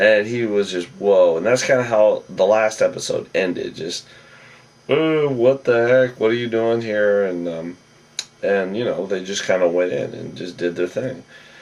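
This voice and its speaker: Against noticeable background noise, a man with a fairly low pitch talks at a moderate pace. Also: ordinary pitch variation. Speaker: TV show recap vlogger. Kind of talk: casual recap monologue. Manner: casual, hesitant with fillers.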